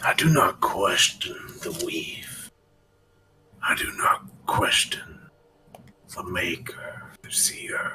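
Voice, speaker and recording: In a put-on character voice, the speaker whispers at a very slow pace, leaving long, frequent pauses. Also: man. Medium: actual play. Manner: terse, solemn.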